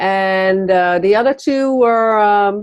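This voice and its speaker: A woman with a Dutch accent speaks at a very slow pace. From Netherlands. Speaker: entrepreneur, magazine publisher. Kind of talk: interview. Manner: halting, many fillers.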